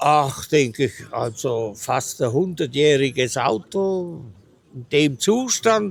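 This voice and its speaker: At a very slow pace, a fairly high-pitched man speaks with lively intonation and big swings in loudness. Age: 80s+. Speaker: classic car owner. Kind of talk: interview.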